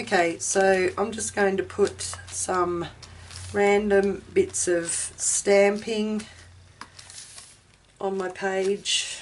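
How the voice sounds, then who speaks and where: A woman speaks at a medium pitch and a very slow pace. Noticeable background noise sits behind her. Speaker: craft tutorial host. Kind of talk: tutorial. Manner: casual, hesitant with fillers.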